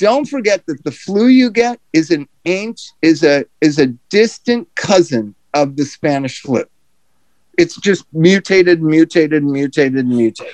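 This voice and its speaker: A man's fairly high, plain, everyday voice at a fairly slow pace, with lively intonation and a dry, close sound with no echo. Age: 60s. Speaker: podcast host, treatment center founder. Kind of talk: casual chat.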